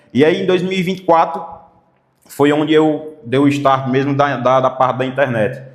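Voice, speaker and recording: A man's fairly high-pitched voice at a moderate pace, with ordinary pitch variation and audible room echo. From Mossoró, Rio Grande do Norte, Brazil. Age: 20s. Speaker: comedian and internet influencer, political pre-candidate. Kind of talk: interview.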